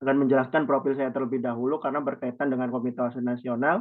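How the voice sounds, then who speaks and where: The man talks at a very fast pace. His pitch is medium and his intonation fairly even. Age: 20s. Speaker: youth organization chairman. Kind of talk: presentation in online meeting.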